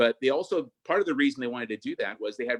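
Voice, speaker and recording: A man speaks at a very fast pace with ordinary pitch variation. The sound is dry and close, with no echo. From US, born to Argentine immigrant parents. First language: Spanish. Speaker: state senator. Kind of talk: interview.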